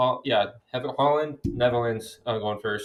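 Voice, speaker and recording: A man with an American accent talks at a fairly slow pace, his pitch varying in an ordinary way. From US. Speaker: podcast co-host. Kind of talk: casual chat.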